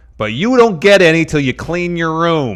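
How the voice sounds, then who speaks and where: Putting on a character voice, a man speaks with a high pitch and lively intonation at a moderate pace. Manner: mom tone, scolding.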